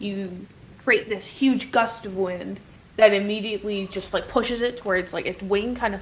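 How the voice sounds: The speaker uses a natural reading voice. The delivery is a natural reading voice throughout.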